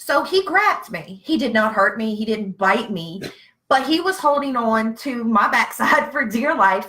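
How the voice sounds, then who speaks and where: A woman with a Southern US accent speaks at a fairly slow pace with fairly high pitch, a bright, sharp, animated tone and very wide pitch swings. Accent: Southern, noticeable. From Virginia. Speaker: veteran with PTSD. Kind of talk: casual live-stream chat. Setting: Facebook live stream.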